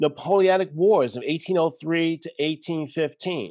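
Over a quiet background, a man with a Brooklyn accent talks at a fairly high pitch. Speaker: podcast guest, history educator. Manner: conversational, digressive.

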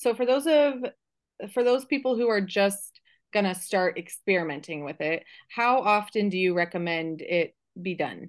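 Lively intonation moves along at a moderate pace over a quiet background. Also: woman. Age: 30s. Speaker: podcast host and business coach. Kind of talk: casual interview chat. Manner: animated, frequent laughter.

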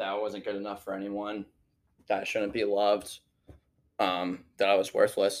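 Spoken in a Midwestern American accent at a moderate pace, the voice stays monotone and flat, with long, frequent pauses. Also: man, fairly low pitch for a man. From Missouri, St. Louis area. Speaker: college student speaker. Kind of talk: testimony. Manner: halting, many fillers.

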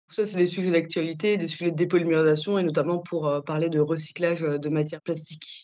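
Here a woman talks at a fairly quick pace with hardly any pauses. Her intonation is monotone and flat. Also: fairly low pitch for a woman. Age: young. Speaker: chemist and podcast host. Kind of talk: interview.

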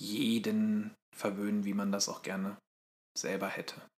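A man talks with monotone, flat intonation. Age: 30s. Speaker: podcast co-host. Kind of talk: casual chat.

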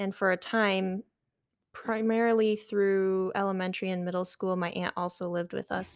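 A woman with an American accent at a moderate pace, monotone and flat, in a dry, close sound with no echo and a very clean recording with a silent background. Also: medium pitch for a woman. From eastern Michigan, near Detroit. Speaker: college student. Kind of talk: casual interview.

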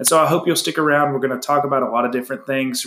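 A man's fairly high voice with a Southern US accent and ordinary pitch variation. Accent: Southern US (Georgia). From US South (north Georgia). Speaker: podcast host, agriculture. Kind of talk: casual chat. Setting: living room recording.

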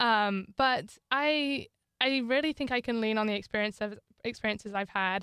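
A woman's bright, sharp voice comes at a moderate pace in a dry, close sound with no echo, on a very clean recording with a silent background. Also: ordinary pitch variation. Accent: northern English. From northern England. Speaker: student athlete. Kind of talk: interview.

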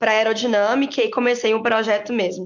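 A woman speaks with a fairly high pitch. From Brazil, Belo Horizonte (Minas Gerais). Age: 20s. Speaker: former student engineering team member, bank employee. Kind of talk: casual interview chat.

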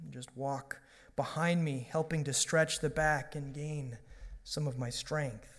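A man with a normal speaking voice and a fairly high pitch at a moderate pace, on a very clean recording with a silent background. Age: 30s. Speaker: pastor. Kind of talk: sermon.

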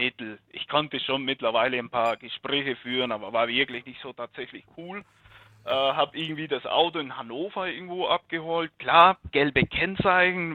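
A man's voice shows ordinary pitch variation with big swings in loudness. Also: fairly high pitch for a man, moderate pace. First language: not German (speaking German). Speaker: car hobbyist, podcast listener. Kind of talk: casual chat. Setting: remote call from home.

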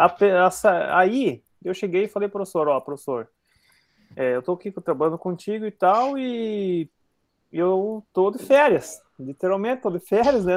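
In a dry, close sound with no echo, a man speaks at a high pitch with lively intonation. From southern Brazil (Paraná). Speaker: agronomy student. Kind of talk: casual chat.

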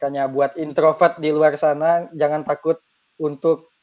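Against a quiet background, a man with a plain, everyday voice talks at a moderate pace in a fairly high pitch with ordinary pitch variation. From Bengkulu, Indonesia. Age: 20s. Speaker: university student. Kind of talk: casual chat.

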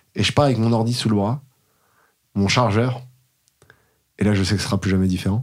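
Moderate pace and ordinary pitch variation from a man with a fairly low voice. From Paris, France. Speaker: tech startup founder. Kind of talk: casual interview. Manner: animated.

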